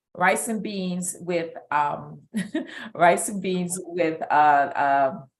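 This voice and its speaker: Amid audible room echo, a woman with a fairly low pitch speaks very slowly with fairly even intonation. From New York, Brooklyn. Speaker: business coach guest. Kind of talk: live stream interview.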